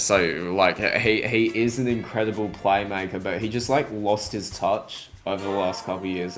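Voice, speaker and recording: A man speaks in an Australian accent. His voice is fairly low, with monotone, flat intonation. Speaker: sports podcast co-host. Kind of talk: casual sports chat. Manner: halting, many fillers.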